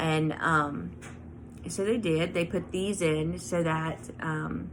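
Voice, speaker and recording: Audible room echo surrounds a woman who speaks at a fairly slow pace and fairly low pitch with ordinary pitch variation. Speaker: craft and lifestyle vlogger. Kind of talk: personal vlog. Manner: halting, many fillers.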